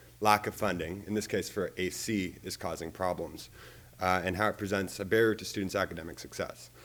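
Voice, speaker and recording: In an American accent, a man with a very deep, low pitch talks at a fairly quick pace with fairly even intonation. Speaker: public commenter. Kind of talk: public comment. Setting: board meeting. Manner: halting.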